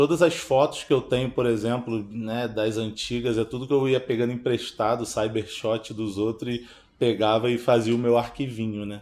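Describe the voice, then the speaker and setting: A man talks at a fairly slow pace in a medium pitch with monotone, flat intonation. The recording is very clean, with a silent background. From Baixada Fluminense, Rio de Janeiro, Brazil. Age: 30s. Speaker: filmmaker. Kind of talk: interview testimony.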